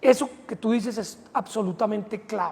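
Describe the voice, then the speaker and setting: The speech comes at a very slow pace amid noticeable background noise. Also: man. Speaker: politician. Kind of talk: interview. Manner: hesitant fillers.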